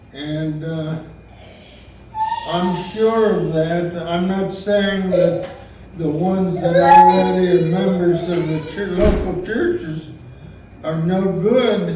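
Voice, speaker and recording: Speaking at a very slow pace with long, frequent pauses, a man uses a high pitch and fairly even intonation, with audible room echo and noticeable background noise. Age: 90s. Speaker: retired minister, family elder. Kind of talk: memorial luncheon speech. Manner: halting.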